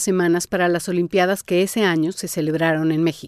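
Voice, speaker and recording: In a plain, everyday voice, a woman with a fairly low pitch speaks at a fairly quick pace, the sound dry and close with no echo over a quiet background. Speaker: podcast host and narrator. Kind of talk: scripted narration.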